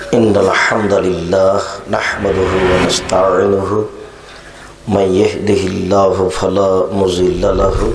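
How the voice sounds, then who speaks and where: Noticeable noise fills the background as a man talks in a fairly low pitch. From Bangladesh. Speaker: Islamic preacher. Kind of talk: religious sermon.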